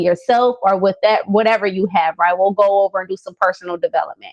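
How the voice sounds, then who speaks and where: The woman's pitch shows ordinary variation as she talks. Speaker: business coach. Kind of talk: live stream motivational talk. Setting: Facebook Live video. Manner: stumbling over words.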